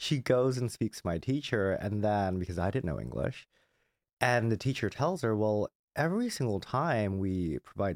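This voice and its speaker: An ordinary speaking voice with an American accent moves at a moderate pace with lively intonation, captured dry and close with no echo in a very clean recording over a silent background. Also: man. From Southern California, Glendale (LA County). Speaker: marketing executive. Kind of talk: interview.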